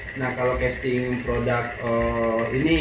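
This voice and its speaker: The man speaks at medium pitch. Noticeable background noise and audible room echo surround him. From West Sumatra (Minangkabau). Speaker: actor and TV/radio presenter. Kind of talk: casual interview chat. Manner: casual slangy speech.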